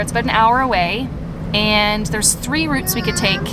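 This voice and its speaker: Amid noticeable background noise and audible room echo, a woman with a medium pitch talks at a fairly quick pace. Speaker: travel vlogger. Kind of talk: casual vlog narration. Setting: in a car.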